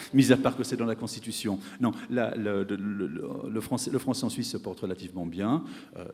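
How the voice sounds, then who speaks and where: A man with a fairly low pitch speaks against noticeable background noise. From French-speaking Switzerland. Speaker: economics professor. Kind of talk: panel discussion answer; conference speech. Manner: hesitant, many fillers and repetitions.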